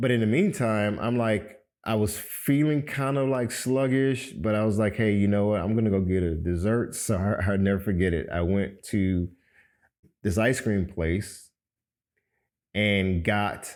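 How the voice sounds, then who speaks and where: A man with an American accent and a normal speaking voice, fairly low in pitch with ordinary pitch variation, at a fairly slow pace and very even loudness, in a very clean recording with a silent background. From Miami, Florida. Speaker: podcast host. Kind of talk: personal testimony. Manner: casual, conversational.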